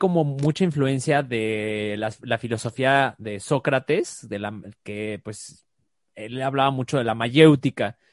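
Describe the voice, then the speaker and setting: At a very slow pace, a man with a Mexican accent speaks at a fairly high pitch, his dry, close sound with no echo set against a quiet background. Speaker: life coach. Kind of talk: casual chat.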